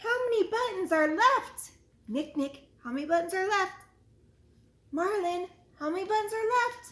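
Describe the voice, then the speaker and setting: The speaker has a warm, animated tone and a moderate pace, broken by long, frequent pauses. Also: woman, extremely high pitch for a woman. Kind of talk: children's story time. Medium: read story. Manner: warm, animated, encouraging.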